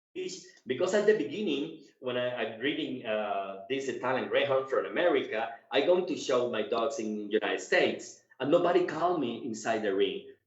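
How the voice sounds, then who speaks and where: A man with a fairly high voice speaks at a moderate pace with lively intonation, and the room echo is audible. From Cuba, moved to Colombia as a teenager. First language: Spanish. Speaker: dog show judge and handler. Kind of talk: interview. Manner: halting, many repetitions.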